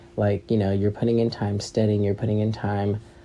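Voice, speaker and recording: This man's voice sits fairly low in pitch, with a dark, mellow tone. He sounds somewhat breathy and talks at a fairly quick pace. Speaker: podcast host. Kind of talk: casual monologue. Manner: fast.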